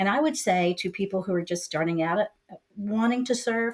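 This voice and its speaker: In a plain, everyday voice, a woman talks at a moderate pace with a medium pitch and lively intonation. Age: 60s. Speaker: community leader and real estate professional. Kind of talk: interview podcast.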